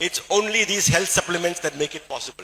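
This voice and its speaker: A man with a Keralan accent and ordinary pitch variation. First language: Malayalam. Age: 60s. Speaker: doctor and supplement distributor speaker. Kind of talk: motivational talk.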